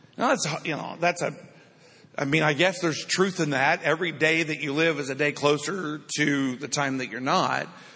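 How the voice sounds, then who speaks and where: At a fairly quick pace, a man speaks with a bright, sharp tone, a fairly high pitch and ordinary pitch variation. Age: 50s. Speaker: pastor. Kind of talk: sermon. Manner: informal, conversational.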